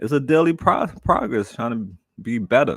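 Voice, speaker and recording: A man with a New York accent at a moderate pace, ordinary pitch variation, on a very clean recording with a silent background. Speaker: live streamer. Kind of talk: casual chat. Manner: repetitive, halting starts.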